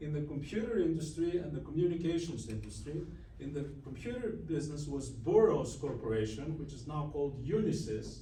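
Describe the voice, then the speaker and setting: With a Greek accent, a man speaks at a fairly quick pace amid audible room echo. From Greece. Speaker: business owner. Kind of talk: guest lecture. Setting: university classroom.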